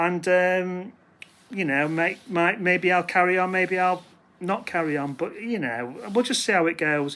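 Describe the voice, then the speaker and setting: A man with a British accent, high in pitch, at a fairly slow pace. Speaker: record collector vlogger. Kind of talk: casual talk to camera. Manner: halting, many fillers; self-deprecating, hesitant.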